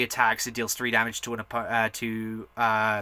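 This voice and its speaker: Loud and fairly quick, a man talks in a bright, sharp tone. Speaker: hobby gaming channel host. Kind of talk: casual card deck tech tutorial. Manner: animated.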